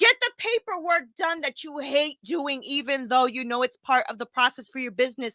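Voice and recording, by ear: A woman speaks at a fairly quick pace in a high, bright, sharp voice with ordinary pitch variation. The sound is dry and close, with no echo.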